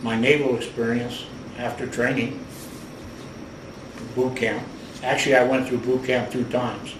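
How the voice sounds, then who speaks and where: Amid noticeable background noise and audible room echo, a man with an American accent speaks in a monotone, flat intonation. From US Midwest, Cleveland, Ohio. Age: 70s. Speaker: war veteran. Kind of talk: oral history interview.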